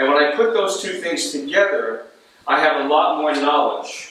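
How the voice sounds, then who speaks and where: With audible room echo and noticeable background noise, a man talks at a fairly slow pace with a fairly high pitch. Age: 60s. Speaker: baseball coach. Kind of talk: coaching talk to players. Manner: emphatic, repetitive.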